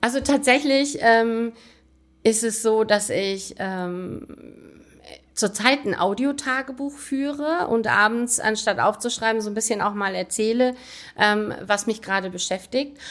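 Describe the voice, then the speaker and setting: At a fairly slow pace, a woman uses an ordinary speaking voice, fairly high in pitch, with ordinary pitch variation. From Rhineland, Aachen. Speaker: mayor. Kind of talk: interview. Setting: town hall office.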